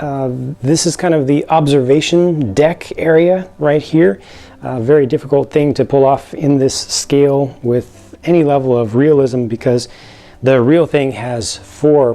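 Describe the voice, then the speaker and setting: Over noticeable background noise, a man with an American accent talks at a moderate pace in a medium pitch with ordinary pitch variation. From United States. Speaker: LEGO set reviewer. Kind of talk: product review. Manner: unscripted, hesitant with fillers and repeats.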